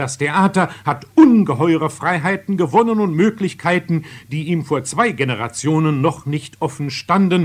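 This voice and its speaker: A man speaks in an unremarkable speaking voice, fairly high in pitch with ordinary variation. His pace is fairly slow. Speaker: radio theatre critic. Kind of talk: radio theatre review, spoken commentary. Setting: radio broadcast, archival recording. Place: studio. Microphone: old recording.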